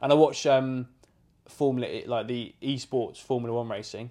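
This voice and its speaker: A man with an English accent, a dark, mellow tone, monotone, flat intonation and a moderate pace. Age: 30s. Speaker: podcast co-host, estate agent. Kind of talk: casual chat. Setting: home living room.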